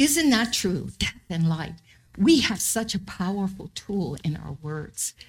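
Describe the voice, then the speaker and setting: A woman speaks very slowly with vocal fry, her pitch swinging very widely. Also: medium pitch for a woman. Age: 70s. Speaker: missionary pastor. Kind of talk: sermon. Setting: church.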